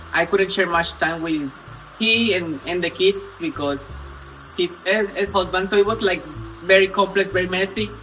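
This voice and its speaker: Over music in the background, a man with a high-pitched voice projects loudly at a moderate pace, leaving long, frequent pauses. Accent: Spanish. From Colombia. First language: Spanish. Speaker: storytelling vlogger. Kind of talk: casual storytime vlog. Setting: home kitchen, cooking on camera. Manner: animated.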